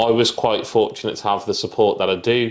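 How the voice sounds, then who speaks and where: Moderate pacing from a male speaker. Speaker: property entrepreneur. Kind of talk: interview. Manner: casual.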